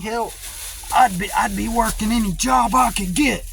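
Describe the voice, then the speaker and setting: In a room with audible echo, a man talks at a high pitch. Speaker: video blogger. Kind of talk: casual monologue. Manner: halting, many fillers and repeats.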